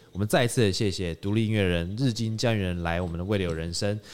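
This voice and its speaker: At a very fast pace, a man with a Taiwanese accent talks in a fairly low voice. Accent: Taiwanese Mandarin. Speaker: podcast host. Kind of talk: casual chat. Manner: animated.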